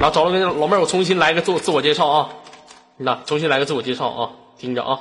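Over noticeable background noise, a man speaks at a very fast pace. His pitch shows ordinary variation. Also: fairly high pitch for a man. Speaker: online voice chat room host. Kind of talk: casual live chat with callers. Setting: online voice chat room. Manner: animated, laughing often.

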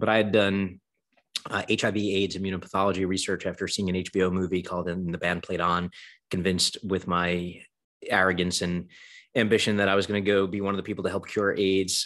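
A man with an American accent and a very deep, low pitch speaks at a fairly quick pace in a monotone, flat intonation. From New York, Brooklyn. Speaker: venture capitalist. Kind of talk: interview.

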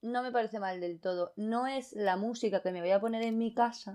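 A woman's fairly high, ordinary speaking voice in a very clean recording with a silent background. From Andalusia, Costa del Sol (Fuengirola). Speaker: podcast guest, design student. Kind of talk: casual chat.

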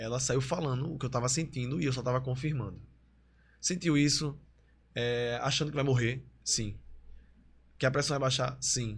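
Somewhat breathy, a man speaks with a Pernambuco accent. His pace is moderate and his intonation fairly even. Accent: Pernambuco Brazilian Portuguese. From Recife and Olinda, Pernambuco, Brazil. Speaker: dancer and influencer. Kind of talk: casual interview chat.

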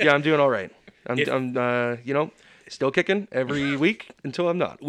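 A man with a plain, everyday voice, fairly high pitch, ordinary pitch variation and a fairly slow pace. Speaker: podcast producer. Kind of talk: casual, profane banter.

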